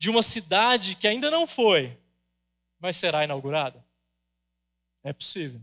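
In a raised, projected voice, a man speaks with a high pitch and a bright, sharp tone. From Brazil, Goiás. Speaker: pastor. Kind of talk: sermon.

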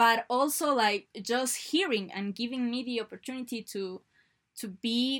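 A woman's fairly high voice, with ordinary pitch variation, comes through a very clean recording with a silent background. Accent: Spanish. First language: Spanish. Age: 20s. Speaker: university student. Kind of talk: casual chat. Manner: halting.

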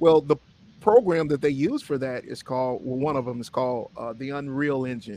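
A man speaks at a moderate pace with ordinary pitch variation in a normal speaking voice. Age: 40s. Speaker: podcast host, tech school instructor. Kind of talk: casual chat.

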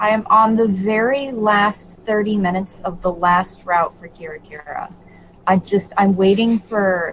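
Over noticeable background noise, a woman speaks with fairly even intonation but big swings in loudness. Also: medium pitch for a woman, moderate pace. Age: 20s. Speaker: video game podcast co-host. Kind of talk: casual chat.

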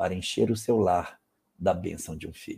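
A man's voice with a dark, mellow tone. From Brazil, Amapá. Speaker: spiritist lecturer answering questions. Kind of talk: live Q&A talk.

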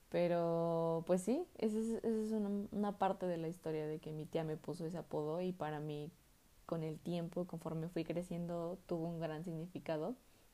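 A woman's fairly low-pitched voice in a Mexican accent, with a dark, mellow tone, fairly even intonation and a moderate pace. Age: 20s. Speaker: student podcaster. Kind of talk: casual monologue.

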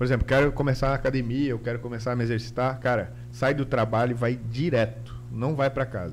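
With hardly any pauses, a man at medium pitch talks at a fairly quick pace in a flat, monotone voice that is somewhat breathy. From Santa Catarina, Brazil (Guaramirim). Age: 30s. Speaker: designer and YouTuber. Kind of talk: casual interview chat.

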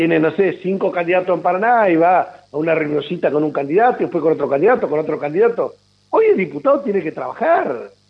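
A man talks at a fairly quick pace, his high voice rising and falling in lively intonation. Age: 50s. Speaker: politician. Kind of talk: radio interview.

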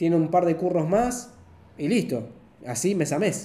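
Audible room echo and noticeable background noise surround a speaker with a Rioplatense accent who moves at a fairly slow pace with very wide pitch swings. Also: man. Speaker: director of photography. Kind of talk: casual chat.

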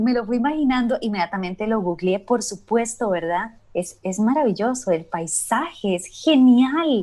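Speaking in an unremarkable speaking voice, a woman with a fairly high pitch and lively intonation goes at a fairly slow pace with hardly any pauses. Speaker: podcast host. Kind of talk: casual chat. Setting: remote recording from home.

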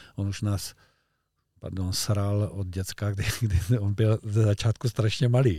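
A man speaks very slowly at a fairly low pitch, somewhat breathy, with a dark, mellow tone. The recording is very clean with a silent background, and the sound is dry and close with no echo. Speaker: fly fishing coach. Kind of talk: casual chat. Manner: animated.

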